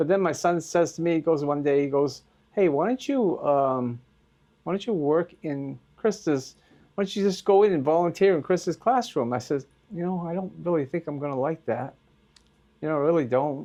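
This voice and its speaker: Against a quiet background, a man with a Maine accent speaks at a moderate pace. His fairly high voice has a dark, mellow tone and ordinary pitch variation. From Maine, US. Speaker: school volunteer. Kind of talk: interview. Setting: school. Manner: halting.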